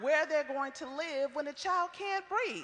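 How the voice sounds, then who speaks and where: A woman's bright, sharp, raised and projected voice with very wide pitch swings. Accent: American. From Iowa, Waterloo. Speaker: community organizer. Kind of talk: prepared testimony at a public forum. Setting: public forum with audience.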